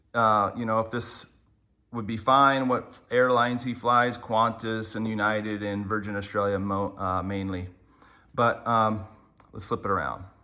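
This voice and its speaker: The tone is bright and sharp, with fairly even intonation. The pace is fairly slow. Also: man, fairly low pitch for a man. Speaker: surf gear reviewer. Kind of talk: product review. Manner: casual, with many fillers.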